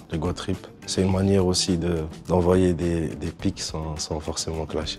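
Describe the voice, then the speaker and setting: A man with a very deep, low pitch, flat monotone intonation and a fairly slow pace, amid noticeable background noise. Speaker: rapper. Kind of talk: interview answers.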